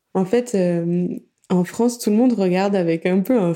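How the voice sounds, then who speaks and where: Here a woman speaks at a fairly low pitch. Her tone is dark and mellow. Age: 30s. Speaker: podcast app founder and podcast consultant. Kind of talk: casual interview.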